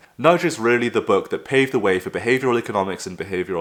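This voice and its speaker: A man rattles along at a very fast pace with a medium pitch. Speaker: behavioral science YouTuber. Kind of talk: casual talk to camera.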